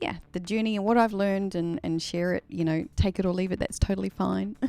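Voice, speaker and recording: A woman speaks at a fairly quick pace in a medium pitch, her tone dark and mellow, on a very clean recording with a silent background. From New Zealand, Wellington. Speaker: singer and live streamer. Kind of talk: casual live stream chat and Q&A. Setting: live stream. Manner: halting, many fillers.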